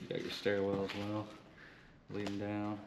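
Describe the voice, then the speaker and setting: A man talks while noticeable background noise runs behind him. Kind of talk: casual vlog commentary. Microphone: phone near.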